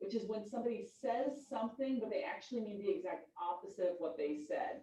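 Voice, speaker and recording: Very wide pitch swings run through a woman's fairly high, dark, mellow voice at a fairly quick pace. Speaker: high school English teacher. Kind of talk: lecture. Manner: fast.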